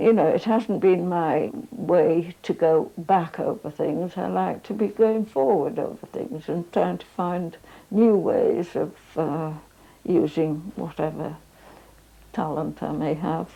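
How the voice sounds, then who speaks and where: A woman's fairly low, dark and mellow voice with vocal fry, ordinary pitch variation, and a very slow pace. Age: 80s+. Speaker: ceramic designer. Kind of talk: interview answer.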